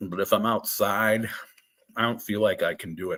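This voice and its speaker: A man is speaking. He keeps a moderate pace. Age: 50s. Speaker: tarot reader, guest. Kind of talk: casual chat. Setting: live stream.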